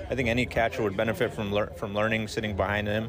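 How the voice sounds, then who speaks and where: Over noticeable background noise, a man talks at a very fast pace. His pitch sits in the medium range. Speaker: baseball journalist. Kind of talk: analysis discussion. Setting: press box.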